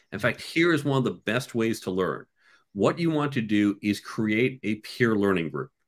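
A man with a normal speaking voice talks at a moderate pace and fairly low pitch. His intonation is lively, and the recording is very clean with a silent background. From US, New York and Chicago suburbs. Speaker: entrepreneur and career author. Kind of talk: casual interview.

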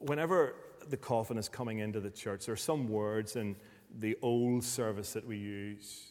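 At a moderate pace and medium pitch, a man speaks with a Northern Irish accent and ordinary pitch variation on a very clean recording with a silent background. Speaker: preacher. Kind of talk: sermon.

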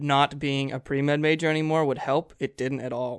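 A man with a normal speaking voice talks at a moderate pace in a fairly high pitch, with fairly even intonation. The sound is dry and close with no echo, and the background is quiet. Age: young. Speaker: college student podcast co-host. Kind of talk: casual chat.

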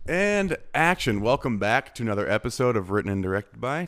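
A man with an unremarkable speaking voice talks at a fairly quick pace, fairly low in pitch with lively intonation. The recording is very clean, with a silent background. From Arizona. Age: 20s. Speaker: podcast host, filmmaker. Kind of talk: casual interview.

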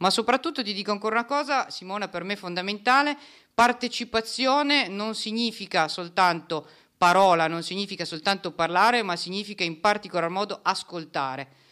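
A woman's bright, sharp voice with lively intonation at a fairly quick pace, on a very clean recording with a silent background. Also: medium pitch for a woman. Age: 40s. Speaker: lawyer and party activist. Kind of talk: project presentation.

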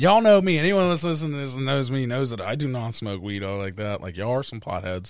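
A man with a Pittsburgh accent talks at a very fast pace with hardly any pauses. His medium pitch swings very widely. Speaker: podcast co-host, music producer. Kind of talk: casual chat.

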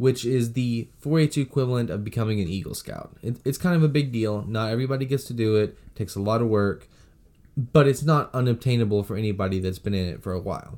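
A man with an American accent speaks at a very fast pace in a dark, mellow tone of medium pitch, with big swings in loudness. The recording is very clean with a silent background. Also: ordinary pitch variation. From Texas, San Antonio. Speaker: podcast co-host. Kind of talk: casual chat.

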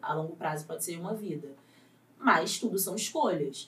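A woman speaks at a fairly slow pace with very wide pitch swings. Her voice is somewhat breathy. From Rio de Janeiro, Vidigal favela. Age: 20s. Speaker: actress. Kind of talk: casual chat.

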